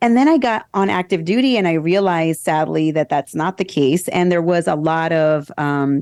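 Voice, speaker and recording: A woman with a normal speaking voice talks at a fairly low pitch and moderate pace, with lively intonation, very even loudness and hardly any pauses, over a quiet background. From US Northeast, New Jersey. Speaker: former military lawyer and true crime podcaster. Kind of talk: interview.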